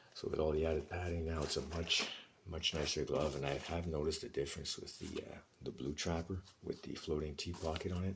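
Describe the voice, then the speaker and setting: Somewhat breathy and very deep, a man's voice moves at a fairly quick pace in a monotone, flat intonation. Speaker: hockey goalie and equipment hobbyist. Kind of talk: casual vlog talk. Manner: hesitant, many fillers.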